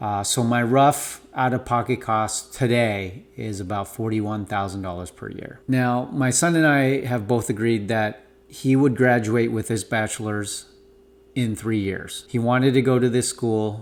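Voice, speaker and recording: The man has an unremarkable speaking voice at a medium pitch. His intonation is fairly even and his pace fairly slow. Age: 40s. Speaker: parent. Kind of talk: casual talk to camera. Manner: casual, with filler words.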